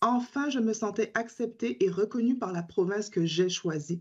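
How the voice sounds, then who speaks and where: Somewhat breathy and fairly high-pitched, a woman speaks with lively intonation. Her pace is moderate. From Caribbean island. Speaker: teacher and advocacy group spokesperson. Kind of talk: prepared testimony at a parliamentary hearing. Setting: parliamentary committee hearing.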